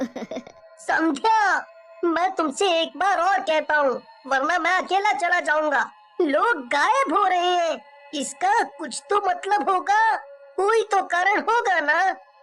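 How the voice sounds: A man puts on a cartoonish character voice. He speaks at a fairly slow pace with music in the background.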